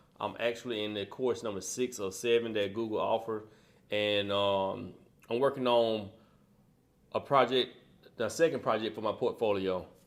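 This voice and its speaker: In a very clean recording with a silent background, a man speaks at a medium pitch with fairly even intonation and long, frequent pauses. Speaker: aspiring UX designer, course student. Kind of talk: tutorial. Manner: fast; casual, with many fillers.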